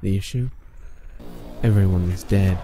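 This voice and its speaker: The pace is moderate, with noticeable noise in the background. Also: man. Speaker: voice actor. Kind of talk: creepypasta story narration.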